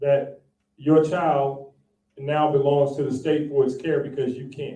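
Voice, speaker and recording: A man's fairly high voice, somewhat breathy with a dark, mellow tone, at a fairly slow pace with big swings in loudness and audible room echo. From South Texas. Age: 60s. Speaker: spiritual teacher and priest. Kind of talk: public talk. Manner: animated.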